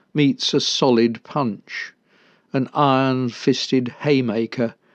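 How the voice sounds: A natural reading voice with fairly even intonation, over a quiet background.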